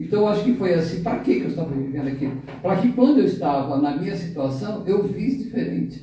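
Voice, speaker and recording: A man's high voice with very wide pitch swings at a moderate pace, amid noticeable background noise and audible room echo. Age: 60s. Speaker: web radio co-host. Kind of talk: radio talk show conversation.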